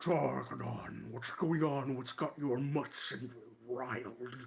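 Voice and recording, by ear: A man puts on a booming, growling character voice, loud and at a very slow pace with fairly even intonation. Music plays in the background. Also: medium pitch for a man.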